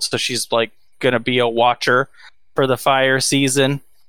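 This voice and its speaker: With an American accent, a man speaks at medium pitch in a monotone, flat intonation. His tone is bright and sharp, and the recording is very clean with a silent background. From Texas. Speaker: podcast co-host. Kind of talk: casual movie-review banter. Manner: relaxed, profane, trailing off into 'um' and 'like'.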